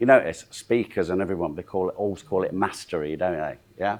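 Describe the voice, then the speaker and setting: A man speaks with a Yorkshire accent and ordinary pitch variation. The recording is very clean, with a silent background. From South Yorkshire, Doncaster. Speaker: motivational speaker and sales trainer. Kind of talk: training seminar talk. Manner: animated.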